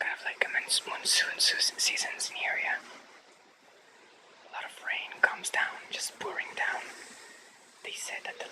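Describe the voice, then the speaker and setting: The whispering unfolds very slowly. Noticeable noise sits behind it. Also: man. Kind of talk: casual talk to camera. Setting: outdoors. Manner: whispered.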